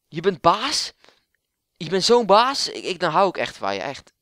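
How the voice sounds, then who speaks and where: Lively intonation and a bright, sharp, animated tone come at a moderate pace in a dry, close sound with no echo. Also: man. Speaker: FIFA gamer and YouTuber. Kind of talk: casual gaming commentary. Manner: animated, rambling, informal.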